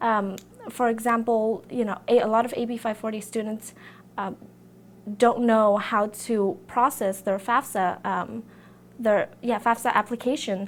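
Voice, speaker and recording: A woman in a Vietnamese accent at a fairly high pitch and moderate pace, fairly even in intonation, on a very clean recording with a silent background. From Vietnam, then US. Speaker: student election candidate. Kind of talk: campaign interview. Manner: hesitant, many fillers.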